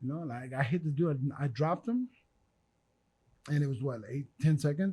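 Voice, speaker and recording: Somewhat breathy and dark, mellow in tone, the voice has an American accent, ordinary pitch variation and a moderate pace. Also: man, fairly high pitch for a man. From US Midwest (Fort Dodge, Iowa). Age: 40s. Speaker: former boxer. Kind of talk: casual chat. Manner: animated.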